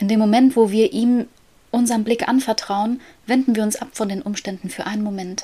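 Somewhat breathy with a dark, mellow tone, the voice moves at a fairly quick pace with fairly even intonation. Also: woman, fairly high pitch for a woman. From Germany, near Paderborn. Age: 20s. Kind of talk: casual faith conversation. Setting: home, child's bedroom.

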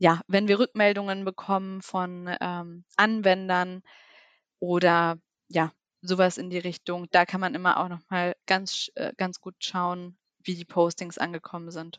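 A woman with a medium pitch speaks slowly-ish and in a monotone, flat intonation with big swings in loudness, on a very clean, dry, close recording with a silent background and no echo. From Lower Saxony, Germany (near Duderstadt). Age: 20s. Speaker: social media manager. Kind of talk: interview.

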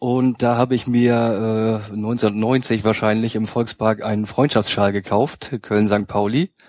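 In a very clean recording with a silent background, a man at medium pitch talks at a very slow pace in a monotone, flat intonation, with hardly any pauses. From northern Germany, Hamburg outskirts. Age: 30s. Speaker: fan project social worker. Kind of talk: casual chat. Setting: studio.

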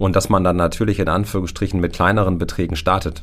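A man talks at a very fast pace in a very deep, low voice. Noticeable background noise can be heard. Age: 40s. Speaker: insurance advisor. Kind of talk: expert interview.

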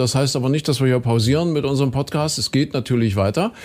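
A man with a fairly high pitch and ordinary pitch variation talks in an ordinary speaking voice. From Saxony. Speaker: podcast host. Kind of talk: casual interview. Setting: studio.

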